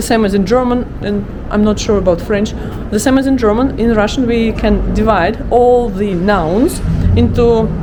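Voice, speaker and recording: A woman with an Eastern European accent, fairly high in pitch with ordinary variation, very even loudness and a moderate pace over noticeable background noise. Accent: Slavic. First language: Russian. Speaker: language teacher. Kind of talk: language lesson to camera. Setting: outdoors. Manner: casual, chatty.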